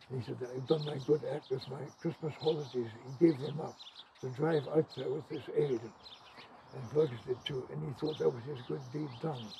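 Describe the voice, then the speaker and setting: There is noticeable background noise behind a man's voice. He talks at a moderate pace with ordinary pitch variation. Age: 80s+. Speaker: farmer. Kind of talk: interview answer.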